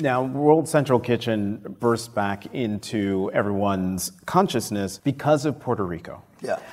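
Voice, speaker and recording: Over noticeable background noise, a man talks at a fairly slow pace with medium pitch and lively intonation. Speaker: podcast host and journalist. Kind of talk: live interview. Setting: stage with audience.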